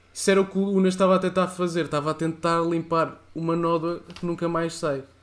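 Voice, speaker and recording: A high-pitched man's voice at a fairly quick pace. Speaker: podcast co-host. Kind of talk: casual chat.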